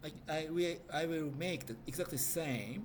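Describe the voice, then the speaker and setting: In a room with audible echo, a man speaks with ordinary pitch variation. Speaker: IT trainer. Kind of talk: tutorial. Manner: halting.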